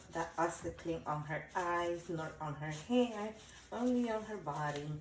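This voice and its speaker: A woman's fairly low voice comes with audible room echo and noticeable background noise. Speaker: doll collector and restorer. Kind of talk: tutorial. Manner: casual, occasionally stumbling over words.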